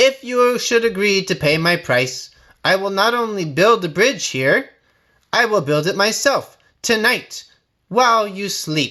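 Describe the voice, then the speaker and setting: Using a put-on character voice with a high pitch, a man speaks at a fairly slow pace on a very clean recording with a silent background. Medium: read story. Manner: booming, menacing.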